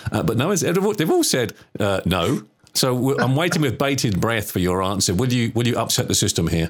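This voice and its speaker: The pace is fairly quick and the loudness very even. Pitch swings very widely. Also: man, medium pitch for a man. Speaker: podcast host. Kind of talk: casual chat, interview.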